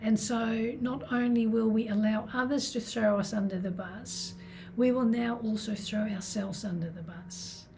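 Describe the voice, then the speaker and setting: Here a woman talks at a moderate pace. Her intonation is fairly even. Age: 60s. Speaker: self-love and healing coach. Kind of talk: self-help talk to camera.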